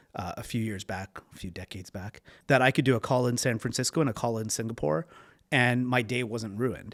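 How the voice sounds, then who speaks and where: Speaking at a fairly quick pace, a man with a medium pitch and ordinary pitch variation is captured in a very clean recording with a silent background and a dry, close sound with no echo. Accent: Canadian. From Canada, Toronto. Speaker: venture capital investor. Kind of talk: interview. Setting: in person.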